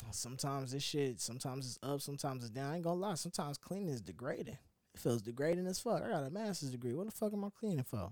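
A man's fairly high voice, very fast with hardly any pauses, full of very wide pitch swings. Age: 20s. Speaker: podcast host. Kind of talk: casual monologue.

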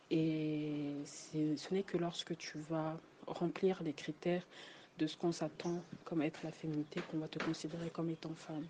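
A woman speaks at a fairly slow pace in a very deep, low voice. Her tone is dark and mellow, her intonation monotone and flat. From Congo. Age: 20s. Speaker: student. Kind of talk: casual chat.

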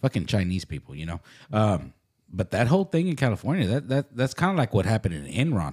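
On a very clean recording with a silent background, a man with a fairly low pitch and vocal fry talks very fast with very wide pitch swings. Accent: American. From Dallas, Texas (Oak Cliff). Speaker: podcast co-host. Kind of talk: casual chat. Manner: halting.

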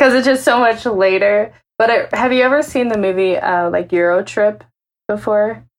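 At a moderate pace, a woman speaks in a normal speaking voice, fairly high in pitch, with ordinary pitch variation. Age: 20s. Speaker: music video channel co-founder. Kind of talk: casual chat.

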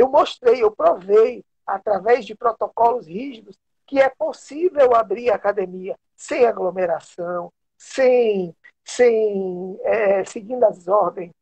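With a high-pitched voice and ordinary pitch variation, a man speaks at a very slow pace. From interior of Bahia, Brazil. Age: 50s. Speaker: taekwondo master and sports official. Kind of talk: interview on a live stream.

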